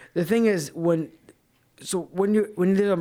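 This recording is very clean, with a silent background. A man talks with a slight Boston accent. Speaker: podcast co-host. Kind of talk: casual banter podcast chat.

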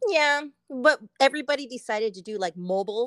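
On a very clean recording with a silent background, a woman with an ordinary speaking voice talks at a fairly high pitch with lively intonation, the sound dry and close with no echo. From Southern California, Pomona. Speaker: painter. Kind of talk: casual chat.

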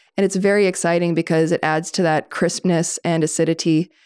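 A woman talks at a fairly quick pace in a plain, everyday voice, fairly low in pitch with fairly even intonation. The recording is very clean, with a silent background. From Maine, US (western Maine mountains). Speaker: winery co-owner. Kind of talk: casual chat.

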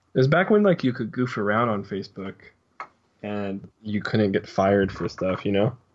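This man has a plain, everyday voice, fairly low in pitch, moving at a moderate pace with ordinary pitch variation. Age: 20s. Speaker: podcast guest. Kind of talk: casual chat. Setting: video call.

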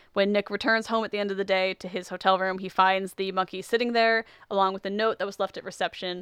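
Very fast delivery in a monotone, flat intonation. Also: woman, medium pitch for a woman. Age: young. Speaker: podcast host. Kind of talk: casual chat; plot recap. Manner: loud.

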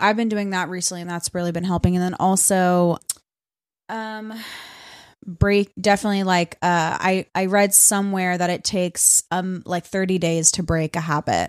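On a very clean recording with a silent background, a woman with an American accent talks at a moderate pace and medium pitch, her intonation monotone and flat, the sound dry and close with no echo. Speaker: podcast co-host. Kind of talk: casual chat.

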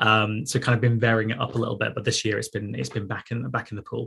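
A man with a Mancunian accent talks at a very fast pace and medium pitch, sounding somewhat breathy. The recording is very clean, with a silent background. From northern England, Manchester. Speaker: sports journalist and masters swimmer. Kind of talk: casual interview.

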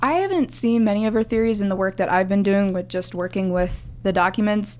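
Speaking in a plain, everyday voice, a woman uses medium pitch and ordinary pitch variation at a fairly quick pace. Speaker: undergraduate student researcher. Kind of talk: casual interview.

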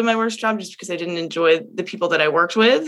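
A woman with an American accent talks in a fairly low pitch with fairly even intonation. It is an ordinary speaking voice. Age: 20s. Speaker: multifamily real estate professional. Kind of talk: interview. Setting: video call.

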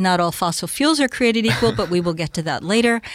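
An ordinary speaking voice from a woman, medium pitch, fairly quick pace. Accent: American. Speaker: retired oil industry executive. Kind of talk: interview. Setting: studio.

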